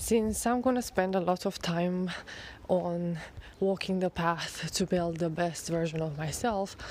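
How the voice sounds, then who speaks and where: At a fairly slow pace, a woman speaks with a fairly low pitch and ordinary pitch variation. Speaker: photographer. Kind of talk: casual talk to camera. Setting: outdoors. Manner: rambling.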